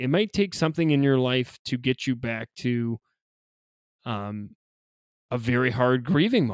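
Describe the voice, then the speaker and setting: A man speaks in a normal speaking voice at medium pitch with ordinary pitch variation, the sound dry and close with no echo. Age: 30s. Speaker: funeral director. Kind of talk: casual chat.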